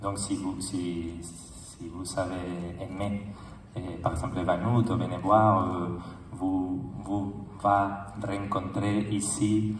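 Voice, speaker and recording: Fairly even intonation in a Spanish accent, with noticeable background noise and audible room echo. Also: man. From Spain. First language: Spanish (speaking French). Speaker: film director. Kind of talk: festival speech. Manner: halting.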